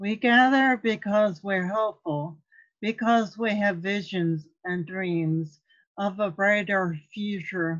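Against a quiet background, a woman speaks in a solemn tone at a very slow pace with ordinary pitch variation. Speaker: lay minister, author. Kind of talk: poetry reading at a church service. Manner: slow, solemn. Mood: calm, solemn, earnest. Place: home room. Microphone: webcam.

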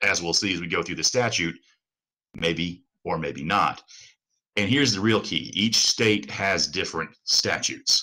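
A man with a very deep, low voice speaks at a fairly slow pace in a bright, sharp tone, his pitch varying in an ordinary way over a quiet background. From outside the US South. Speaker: attorney. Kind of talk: lecture. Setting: video call. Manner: repeats words, halting. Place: home room. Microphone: webcam.

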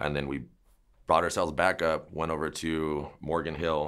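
Against a quiet background, the speaker has an American accent, vocal fry and monotone, flat intonation. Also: man. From US West, San Jose, California; California. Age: 30s. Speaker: dog trainer. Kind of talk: interview. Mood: calm, reflective storytelling. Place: shop.

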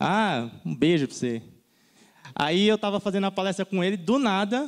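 Against a quiet background, the voice sounds animated, with very wide pitch swings. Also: man. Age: 30s. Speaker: design content creator. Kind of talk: conference talk. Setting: stage with audience. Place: stage. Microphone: handheld.

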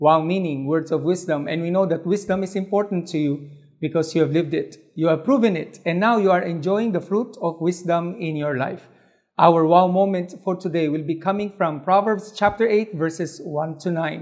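A man's high-pitched voice at a moderate pace, with ordinary pitch variation and a quiet background. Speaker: presenter. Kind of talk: devotional talk to seniors. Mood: warm and encouraging. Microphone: lapel.

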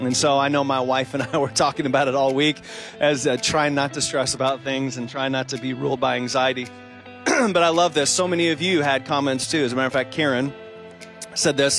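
Over clear music in the background, the voice moves at a very fast pace with fairly even intonation and a dry sound with no echo. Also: man. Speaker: associate pastor, online host. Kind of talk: warm host welcome and reading of viewer comments. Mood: warm, cheerful, smiling. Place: hall. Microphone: handheld.

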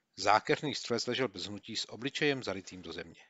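A plain, everyday voice: a man at medium pitch, fairly quick pace and lively intonation. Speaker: audiobook narrator. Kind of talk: audiobook reading of a war memoir, scripted narration. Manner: steady, measured narration that tightens into clipped, urgent bursts in the action scenes; slips into gruff, colloquial soldier banter in the dialogue.

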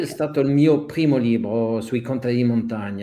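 A man's medium-pitched voice with a dark, mellow tone, ordinary pitch variation and a French accent. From Switzerland, Geneva (French-speaking). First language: French (speaking Italian). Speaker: documentary photographer; guest. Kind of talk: interview. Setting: video call. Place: home room. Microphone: video call.

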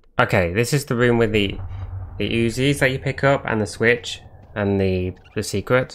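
Speaking with a British accent, a man keeps a medium pitch, ordinary pitch variation, and a moderate pace. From Britain. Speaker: gaming streamer. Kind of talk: live gameplay commentary. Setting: live stream. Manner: animated.

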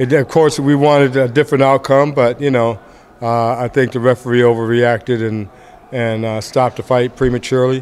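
Light background noise sits under the recording. A man speaks at a moderate pace with fairly even intonation. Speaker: boxing trainer. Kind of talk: interview answer. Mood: calm, reflective. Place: hall. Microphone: earbuds.

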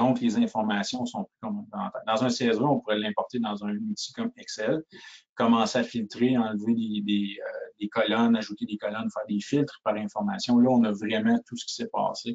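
A man at a moderate pace in a strong rural Quebec accent. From Quebec (Shawinigan). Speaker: sales engineer. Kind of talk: webinar product demo. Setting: online webinar. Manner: halting, frequent repetitions and fillers.

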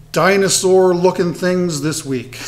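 A man speaks in a high pitch. Music plays in the background. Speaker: woodturning channel host. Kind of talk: casual tutorial intro. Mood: upbeat, friendly. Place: workshop.

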